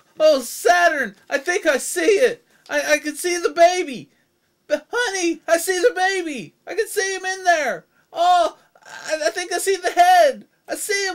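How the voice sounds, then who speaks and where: Doing a put-on character voice, a man squeaks at an extremely high pitch and a moderate pace. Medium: cartoon. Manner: hesitant, stammering.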